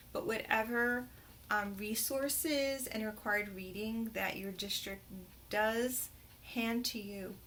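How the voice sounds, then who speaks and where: A woman's fairly high voice in a New Jersey accent, very slow, with ordinary pitch variation and audible room echo. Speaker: teacher trainer. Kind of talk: tutorial. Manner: hesitant, many fillers.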